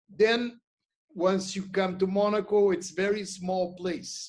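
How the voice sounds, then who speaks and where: A man speaks at a very slow pace in a high voice. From Brazil. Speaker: magazine publisher and CEO. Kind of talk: podcast interview. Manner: halting, many fillers.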